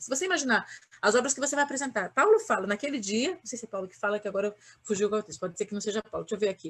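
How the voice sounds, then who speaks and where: A woman speaks with ordinary pitch variation. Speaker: pastor. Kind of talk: sermon. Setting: online livestream. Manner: fast.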